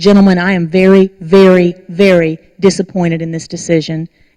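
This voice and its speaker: In a put-on character voice, someone speaks loudly and boomingly at a moderate pace, holding a middle pitch in a flat monotone. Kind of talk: formal, rebuking. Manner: loud, booming, severe.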